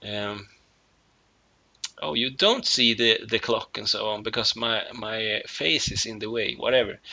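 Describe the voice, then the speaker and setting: Speaking fairly slowly with long, frequent pauses, a man with a Swedish accent keeps a medium pitch and fairly even intonation. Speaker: musician. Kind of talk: casual video monologue. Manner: halting, many fillers.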